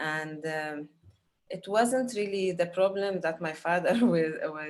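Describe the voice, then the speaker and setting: Speaking at a fairly slow pace, a woman with an Arabic accent uses a fairly low pitch. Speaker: film director. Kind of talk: panel Q&A. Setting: video call. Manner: halting, many fillers.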